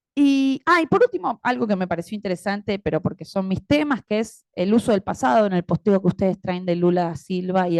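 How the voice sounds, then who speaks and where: A woman with an Argentine accent at a moderate pace, ordinary pitch variation, a dry, close sound with no echo, and a quiet background. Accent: Argentine Spanish (Rioplatense). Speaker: academic panel commentator and moderator. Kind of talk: academic panel commentary.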